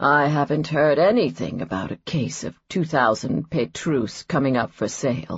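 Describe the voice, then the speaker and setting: In a raspy put-on character voice at a low-to-middle pitch, the speaker talks at a moderate pace with hardly any pauses. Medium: read story. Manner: smooth, self-satisfied.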